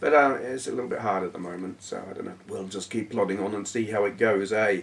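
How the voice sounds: A man speaks at a fast pace with a fairly low pitch. His voice has vocal fry and ordinary pitch variation.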